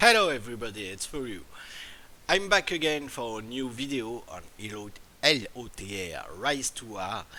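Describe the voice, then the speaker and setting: A man's medium-pitched voice with a French accent, bright, sharp tone, lively intonation and moderate pace. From France. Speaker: gaming YouTuber. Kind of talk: tutorial. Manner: halting.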